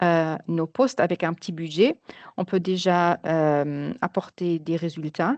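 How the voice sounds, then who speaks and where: A woman with a fairly low-pitched voice and a non-native accent speaks at a very slow pace with ordinary pitch variation, in a dry, close sound with no echo over a quiet background. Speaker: marketing project manager. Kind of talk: webinar presentation. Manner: halting, many hesitations.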